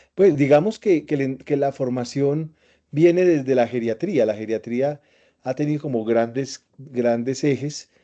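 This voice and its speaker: Against a quiet background, the voice carries a dark, mellow tone at a fairly slow pace with ordinary pitch variation. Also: man, fairly high pitch for a man. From Colombia, Antioquia (paisa region). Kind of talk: interview. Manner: halting, many repetitions and fillers.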